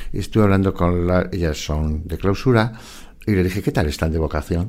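With a dark, mellow tone and lively intonation, a man speaks at a fairly quick pace. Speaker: forensic psychologist and author. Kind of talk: interview.

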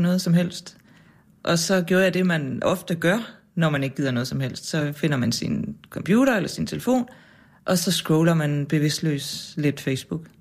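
Speaking in a normal speaking voice, a woman with a fairly low pitch talks at a fairly slow pace, her pitch varying in an ordinary way. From Jutland, Denmark. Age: 40s. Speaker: journalist and author. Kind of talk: interview conversation. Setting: radio studio.

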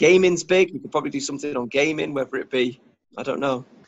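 Fairly quick speech from a man with a Cheshire accent, fairly high in pitch with ordinary pitch variation. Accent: northern English (Warrington). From northern England, Warrington. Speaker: entrepreneur, YouTuber. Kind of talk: casual interview.

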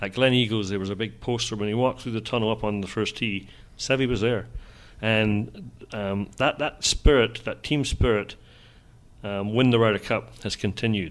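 A man talks with a Scottish accent. He keeps a moderate pace. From Scotland. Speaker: golf journalist. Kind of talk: casual interview.

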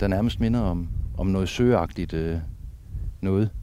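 A man with a fairly low pitch. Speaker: sea trout angler and river conservation chairman. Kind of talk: casual chat. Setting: outdoors on the coast at night.

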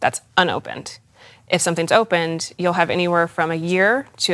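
In a very clean recording with a silent background, a woman with a normal speaking voice talks at a fairly quick pace and a fairly low pitch. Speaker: esthetician and makeup artist. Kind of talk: casual interview chat explaining skincare. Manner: informal, conversational, fillers.

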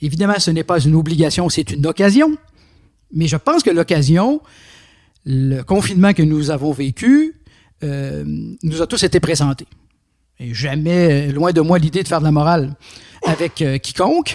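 At a moderate pace with long, frequent pauses, a man with a fairly high pitch and ordinary pitch variation is heard in a dry, close sound with no echo. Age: 60s. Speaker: philosopher and philosophy teacher. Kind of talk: interview. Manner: halting, with frequent fillers.

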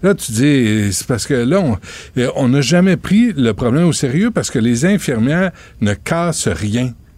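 A man's fairly high voice at a fairly slow pace, with very wide pitch swings. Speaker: radio talk show host. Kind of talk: radio talk show interviews and chat. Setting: radio studio. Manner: animated.

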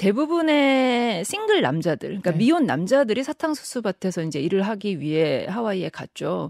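A moderate pace with hardly any pauses on a very clean recording with a silent background. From South Korea. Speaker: documentary film director. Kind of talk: radio interview. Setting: radio studio.

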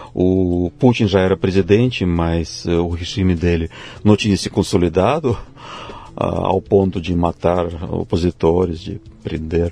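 Amid noticeable background noise, a man with a Russian accent speaks at a fairly slow pace in a very deep, low pitch with fairly even intonation. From Russia, Siberia (Tomsk). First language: Russian (speaking Portuguese). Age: 50s. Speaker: physics professor. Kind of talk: interview. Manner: hesitant, with fillers.

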